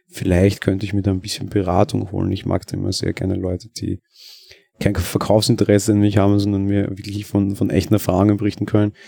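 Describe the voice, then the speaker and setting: A man with a fairly low voice speaks very fast in a flat monotone, with a Viennese accent. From Austria, Vienna. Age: 20s. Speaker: podcaster. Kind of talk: casual monologue. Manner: hesitant, many fillers.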